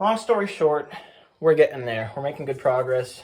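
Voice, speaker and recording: This man speaks with ordinary pitch variation. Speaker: DIY bus conversion vlogger. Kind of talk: casual vlog talk.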